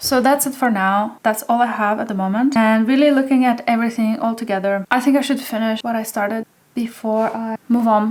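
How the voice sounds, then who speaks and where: A fairly quick pace, hardly any pauses, and fairly even intonation. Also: woman, fairly high pitch for a woman. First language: not English. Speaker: hobby potter. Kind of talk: casual show-and-tell vlog.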